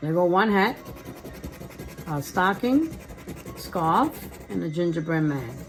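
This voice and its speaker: With noticeable background noise behind her, a woman speaks at a very slow pace in a fairly low pitch, using lively intonation and long, frequent pauses. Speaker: lottery scratch-off video creator. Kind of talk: casual scratch-off commentary.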